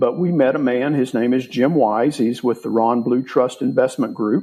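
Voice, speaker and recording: This man has an unremarkable speaking voice at medium pitch. He talks at a fairly slow pace with ordinary pitch variation. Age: 60s. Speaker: real estate investor. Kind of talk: interview.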